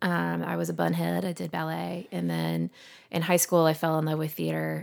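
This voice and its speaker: On a very clean recording with a silent background, a woman talks with a Southern US accent. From Alabama, Montgomery. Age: 30s. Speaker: therapist and yoga instructor. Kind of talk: casual chat.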